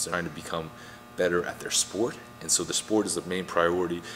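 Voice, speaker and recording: Music plays in the background as the voice moves at a moderate pace with ordinary pitch variation. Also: man. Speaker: strength coach. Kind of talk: tutorial. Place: gym.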